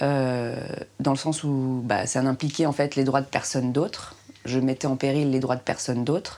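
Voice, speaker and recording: A woman's very deep, low voice with a dark, mellow tone, fairly even intonation, very even loudness and a moderate pace. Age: 30s. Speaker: woman pursuing solo fertility treatment. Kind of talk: personal testimony. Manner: halting.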